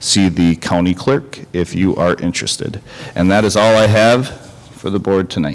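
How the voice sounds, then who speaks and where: Noticeable background noise sits behind a man with a very deep, low pitch and fairly even intonation. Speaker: school administrator. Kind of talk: board meeting. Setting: meeting room with microphones. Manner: loud.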